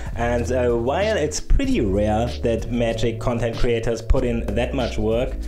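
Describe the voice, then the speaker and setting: With music in the background and audible room echo, a man with a German accent speaks at a fairly slow pace with hardly any pauses. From Germany. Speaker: YouTube gaming content creator. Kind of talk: casual channel anniversary talk. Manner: joking, casual.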